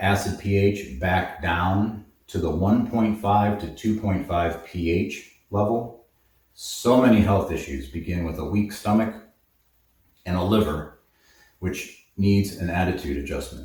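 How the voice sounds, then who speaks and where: Amid audible room echo, a man speaks with a somewhat breathy, fairly low voice. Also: ordinary pitch variation, fairly slow pace. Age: 80s+. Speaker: herbalist, supplement shop owner. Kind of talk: tutorial. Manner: casual, with filler words.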